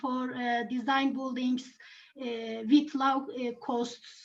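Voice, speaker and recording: A woman with a non-native accent and high pitch, at a very slow pace, with audible room echo. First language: not English. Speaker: mechanical engineer, conference participant. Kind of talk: conference discussion. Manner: halting, many fillers.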